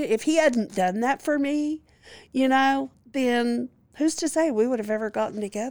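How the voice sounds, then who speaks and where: In a very clean recording with a silent background, a woman with a Louisiana accent speaks at a fairly quick pace with ordinary pitch variation. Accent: Southern US (Louisiana). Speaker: licensed clinical social worker. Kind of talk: interview testimony.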